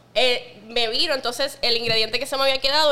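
A woman with a bright, sharp tone talks fairly quickly, her intonation fairly even. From Puerto Rico, west (Lajas, Cabo Rojo). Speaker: bartender, mixologist. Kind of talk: casual chat.

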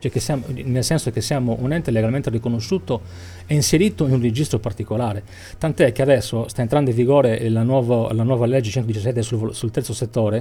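A man talks at a fairly quick pace, medium in pitch with ordinary variation and somewhat breathy. His tone is dark and mellow, and the recording is very clean with a silent background. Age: 50s. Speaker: cultural association president. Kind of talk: radio interview.

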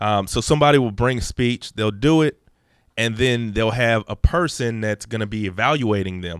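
An ordinary speaking voice comes at a moderate pace with ordinary pitch variation, in a dry, close sound with no echo on a very clean recording with a silent background. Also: man, medium pitch for a man. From Texas, Dallas area (moved from Los Angeles as a small child). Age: 30s. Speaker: podcast guest, public speaker. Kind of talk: casual chat.

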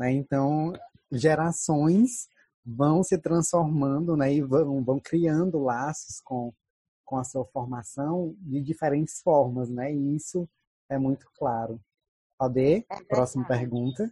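In a dry, close sound with no echo, a man with a fairly high pitch and a dark, mellow, somewhat breathy tone speaks at a very slow pace with ordinary pitch variation. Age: 20s. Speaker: podcast host and Portuguese teacher. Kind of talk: casual chat.

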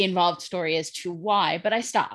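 A woman's plain, everyday voice, medium in pitch, with ordinary pitch variation at a moderate pace on a very clean recording with a silent background. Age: 40s. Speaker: writer and social worker. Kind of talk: casual interview chat.

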